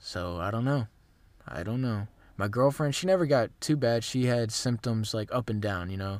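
The speaker has an unremarkable speaking voice with lively intonation, moving at a moderate pace. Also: man, medium pitch for a man, very clean recording, silent background. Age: 20s. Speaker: fitness podcast host. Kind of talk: casual solo monologue. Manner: conversational, many fillers and restarts.

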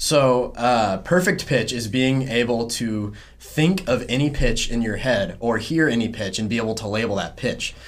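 Through noticeable background noise, someone with a Southern US accent talks at a moderate pace with hardly any pauses and ordinary pitch variation. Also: man, medium pitch for a man. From South Carolina. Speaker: music student and drummer.

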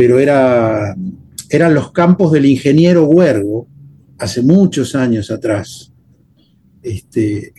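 This man's fairly high voice has a dark, mellow tone, a somewhat breathy quality and lively intonation. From Argentina, Buenos Aires suburbs (Temperley). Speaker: guitarist and composer. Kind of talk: casual interview conversation.

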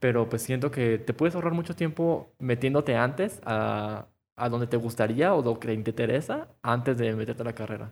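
A man with a Mexican accent, medium pitch and ordinary pitch variation. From Mexico. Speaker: podcast co-host, architecture worker. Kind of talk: casual chat. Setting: wearing face mask.

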